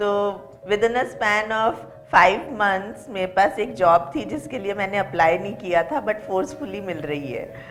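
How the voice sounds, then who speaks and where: A woman speaks with lively intonation. There is music in the background. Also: medium pitch for a woman. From Jaipur, Rajasthan, India. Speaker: assistant professor. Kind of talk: interview. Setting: studio.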